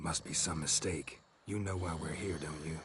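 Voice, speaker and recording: A raspy, put-on character voice moves along at a moderate pace. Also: man, very deep, low pitch for a man. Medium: machinima. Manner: terse, gruff.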